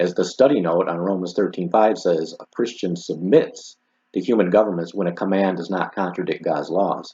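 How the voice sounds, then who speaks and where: Very deep and low, this man's voice has a dark, mellow tone and fairly even intonation. He talks at a fairly quick pace against a quiet background. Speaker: religious commentator. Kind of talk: commentary video critiquing religious organisation.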